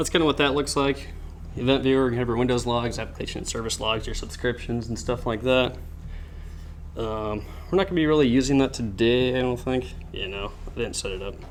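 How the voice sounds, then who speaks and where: With audible room echo and noticeable background noise, a man at a medium pitch speaks at a fairly quick pace with ordinary pitch variation. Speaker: cybersecurity club presenter. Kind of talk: lecture. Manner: fast; halting with fillers.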